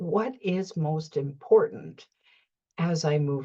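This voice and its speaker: Speaking at a very slow pace, a woman has a fairly low, somewhat breathy voice. Her intonation is lively. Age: 70s. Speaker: life coach / motivational vlogger. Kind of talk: reflective monologue. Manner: halting, with many repeated words.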